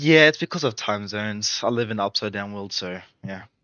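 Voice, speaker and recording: Talking at a fairly quick pace in an Australian accent, a man has a fairly low pitch and ordinary pitch variation. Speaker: gaming streamer. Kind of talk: casual live stream chat.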